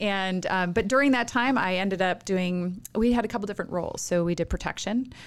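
A woman with an American accent uses an ordinary speaking voice at a medium pitch, with ordinary pitch variation. She talks at a fairly quick pace with hardly any pauses, in a very clean recording with a silent background. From rural Minnesota. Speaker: nonprofit chief executive. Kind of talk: interview conversation.

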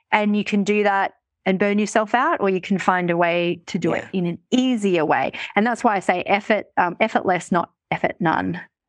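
In an Australian accent, a woman talks at a moderate pace with a medium pitch and ordinary pitch variation. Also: quiet background. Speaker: money mindset coach and author. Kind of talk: casual interview chat.

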